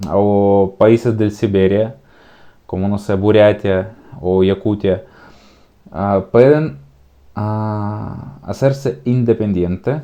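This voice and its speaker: Speaking with a slight Slavic accent, a man uses a dark, mellow tone at a fairly low pitch with ordinary pitch variation. His pace is very slow, broken by long, frequent pauses. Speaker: youtuber, political commentator. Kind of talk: casual political commentary vlog. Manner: hesitant, many fillers.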